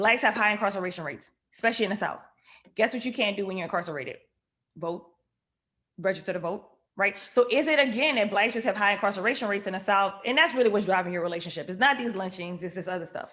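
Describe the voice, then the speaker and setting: In a New Orleans accent, a woman speaks very fast at a medium pitch with ordinary pitch variation. Her tone is animated, bright and sharp. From Louisiana, New Orleans. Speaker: economist. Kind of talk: lecture.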